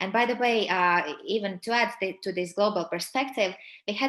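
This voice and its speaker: In a Latvian accent, a woman speaks fairly quickly at a medium pitch with a bright, sharp tone and ordinary pitch variation. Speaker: personal branding coach. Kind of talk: webinar presentation. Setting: webinar. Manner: hesitant, many fillers.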